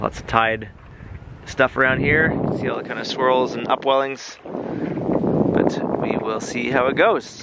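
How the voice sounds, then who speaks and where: Loud background noise runs under a man speaking at a moderate pace. The sound is dry, with no echo. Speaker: sailing vlogger. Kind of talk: casual vlog chat. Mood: relaxed, content. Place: boat. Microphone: phone near.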